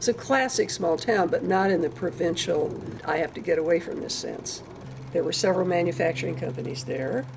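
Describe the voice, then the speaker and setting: A woman with a Midwestern American accent talks at a moderate pace, her fairly low pitch making very wide swings. Noticeable background noise is present. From northern Indiana, US Midwest. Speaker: parent recounting family history. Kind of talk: oral history interview.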